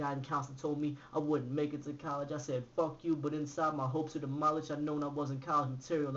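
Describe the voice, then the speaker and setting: Speaking very fast in a monotone, flat intonation, a man uses a fairly high pitch. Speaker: author and poet. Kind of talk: spoken word poetry performance. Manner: rhythmic, fast. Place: home room. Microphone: webcam.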